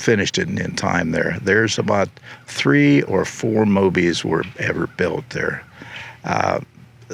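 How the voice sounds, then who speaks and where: Against noticeable background noise, a man with a Midwestern American accent speaks very slowly in a very deep, low pitch with lively intonation. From Ohio. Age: 80s+. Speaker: recumbent bike designer and racer. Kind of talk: interview answer. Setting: outdoors.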